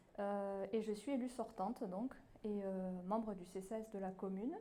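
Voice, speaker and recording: A woman's dark, mellow tone carries audible room echo. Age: 30s. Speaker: municipal election candidate. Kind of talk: campaign speech. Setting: public hall meeting. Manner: hesitant, many fillers.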